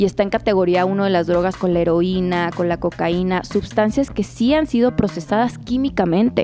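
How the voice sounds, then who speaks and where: Moving at a moderate pace, a woman's voice shows very wide pitch swings. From northern Mexico, Chihuahua and Ciudad Juárez. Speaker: cannabis activist and businesswoman. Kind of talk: interview testimony.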